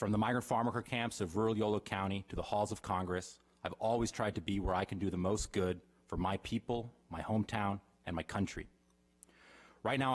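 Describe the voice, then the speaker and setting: Speaking with an American accent, a man talks at a very fast pace. His pitch is fairly low and his intonation fairly even. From Davis, California. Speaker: political candidate. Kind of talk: prepared speech. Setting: council chambers with audience.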